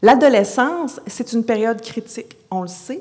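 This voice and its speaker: In a Quebec accent, a woman speaks with ordinary pitch variation. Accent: Québécois French. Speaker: psychology professor. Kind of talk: conference talk. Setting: conference stage with audience. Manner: lively, moves around; many hesitations (euh).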